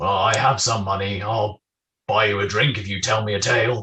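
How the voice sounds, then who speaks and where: In a put-on character voice, a man speaks at a fairly low pitch. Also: moderate pace. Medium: actual play.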